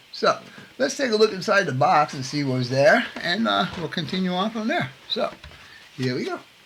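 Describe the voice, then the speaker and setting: Very wide pitch swings at a moderate pace. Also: man, high pitch for a man. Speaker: scale model builder, navy veteran. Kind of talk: hobby tutorial. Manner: casual, halting with fillers.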